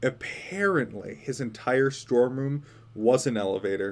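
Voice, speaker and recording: A man's medium-pitched voice, an unremarkable speaking voice, with ordinary pitch variation. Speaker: audiobook narrator. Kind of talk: audiobook reading.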